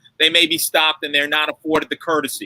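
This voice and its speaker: Someone with a New York accent talks in a dry, close sound with no echo. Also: man. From New York City, the Bronx. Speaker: lawyer. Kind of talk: panel discussion. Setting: livestream. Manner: emphatic, rhetorical.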